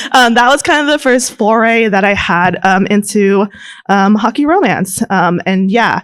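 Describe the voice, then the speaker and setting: A fairly high-pitched woman's voice at a moderate pace, with very even loudness and ordinary pitch variation. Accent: Californian. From California, Bay Area. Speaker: romance author panelist. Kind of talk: convention panel discussion. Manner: halting, many filler ums.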